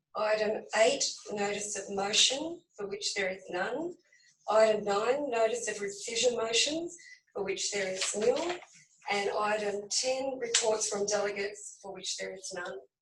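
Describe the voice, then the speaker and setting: A woman's croaky, put-on character voice at a fairly high pitch, with a moderate pace, ordinary pitch variation and big swings in loudness. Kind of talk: formal, procedural.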